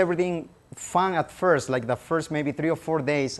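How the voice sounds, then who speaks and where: A speaker with a Spanish accent talks at a fairly quick pace. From Peru (Lima). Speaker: language teacher. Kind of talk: public presentation.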